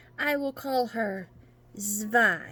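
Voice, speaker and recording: A put-on character voice sounds female. It sits at a fairly high pitch for a woman. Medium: read story. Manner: grudging, flat.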